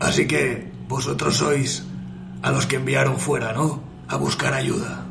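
A put-on character voice moves at a fairly slow pace against loud background noise. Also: man, medium pitch for a man.

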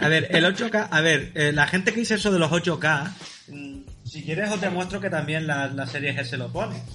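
Speech moves at a moderate pace. There is noticeable background noise. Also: man, fairly high pitch for a man, ordinary pitch variation. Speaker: podcast host. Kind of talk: casual chat.

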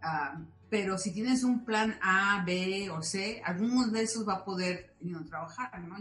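A woman of medium pitch with ordinary pitch variation and an unremarkable speaking voice. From Mexico City. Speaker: aerospace engineer. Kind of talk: interview.

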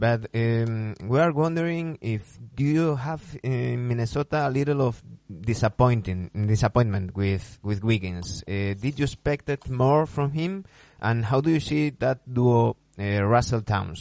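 A man with a Spanish accent at a fairly slow pace, medium pitch and ordinary pitch variation, in a dry, close sound with no echo. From Spain. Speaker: basketball podcast host. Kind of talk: interview. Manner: halting, many fillers.

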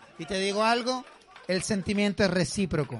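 Amid crowd noise, a man with a Chilean accent talks at a moderate pace in an animated tone. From southern Chile. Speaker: comedian. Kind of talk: stand-up. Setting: stage with audience.

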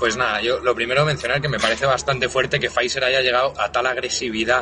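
A very fast man at medium pitch, monotone and flat, over noticeable background noise. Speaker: podcast co-host. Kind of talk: casual chat.

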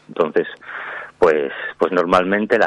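The recording has a dry, close sound with no echo. In it, a man speaks at a moderate pace. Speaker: author. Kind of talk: interview.

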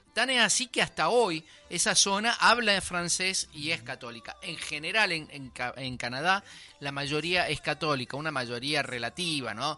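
With music playing in the background, a man speaks at a moderate pace in a fairly high pitch, his voice swinging very widely in pitch. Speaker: radio host. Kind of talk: radio history presentation and interview.

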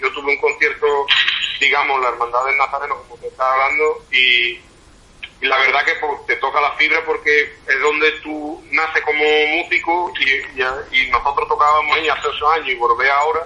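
Noticeable background noise surrounds a man speaking at a fairly quick pace. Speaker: band musician. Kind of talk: interview.

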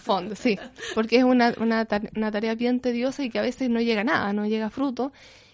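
This woman's voice is fairly high. She keeps her intonation fairly even. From Chile, Concepción. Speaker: visual artist and art teacher. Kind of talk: interview. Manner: halting.

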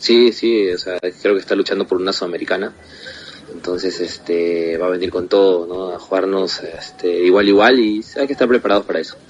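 A man's very deep, low voice with fairly even intonation, fairly quick in pace, over noticeable background noise. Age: young. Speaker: football goalkeeper. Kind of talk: interview.

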